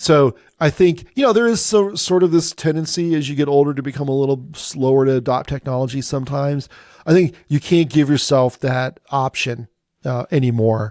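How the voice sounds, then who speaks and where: Fairly high-pitched for a man, this is an unremarkable speaking voice with ordinary pitch variation at a fairly quick pace. The sound is dry and close with no echo, on a very clean recording with a silent background. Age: 60s. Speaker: AI strategy consultant. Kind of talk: interview.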